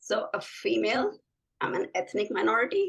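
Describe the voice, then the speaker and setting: A woman is speaking here. She has a non-native accent. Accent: foreign accent in US English. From Pakistan. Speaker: physician, assistant professor of medicine. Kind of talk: interview conversation.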